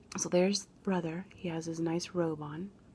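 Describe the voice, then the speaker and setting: A soft-spoken woman whispers. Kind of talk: reading greeting cards aloud. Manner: soft-spoken, whispered.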